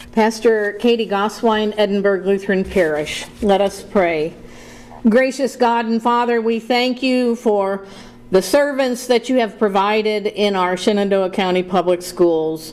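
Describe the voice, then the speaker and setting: Over noticeable background noise, a woman with a medium pitch speaks at a fairly slow pace. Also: ordinary pitch variation, very even loudness. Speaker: pastor. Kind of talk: prayer invocation. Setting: board room meeting. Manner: loud.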